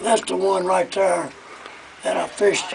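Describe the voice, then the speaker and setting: There is noticeable background noise. A man with a high pitch talks at a moderate pace. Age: 80s+. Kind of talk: interview answer.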